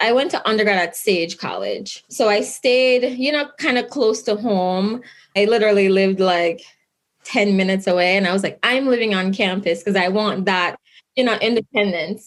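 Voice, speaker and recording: Delivered in a Jamaican accent, the speech keeps a moderate pace and very even loudness. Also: woman, medium pitch for a woman, ordinary pitch variation. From Jamaica, Kingston. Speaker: lawyer. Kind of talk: interview.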